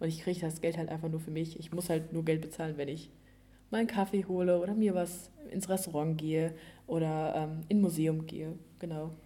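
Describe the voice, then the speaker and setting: A woman with a fairly low pitch speaks in a dark, mellow tone with monotone, flat intonation, and audible room echo surrounds her voice. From Germany, East Westphalia. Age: young. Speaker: au pair. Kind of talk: casual chat.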